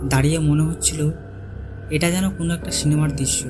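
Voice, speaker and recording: Over music in the background, the intonation stays fairly even. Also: man. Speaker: storyteller. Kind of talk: horror story narration.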